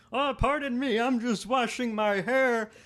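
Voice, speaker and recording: Put-on character voice from a man, extremely high in pitch, at a moderate pace. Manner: put-on, polite, disguising voice.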